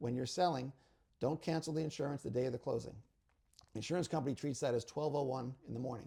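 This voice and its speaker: A man speaks very fast with a dark, mellow tone, a somewhat breathy quality and fairly even intonation. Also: medium pitch for a man. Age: 60s. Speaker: real estate attorney. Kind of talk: casual interview, giving advice.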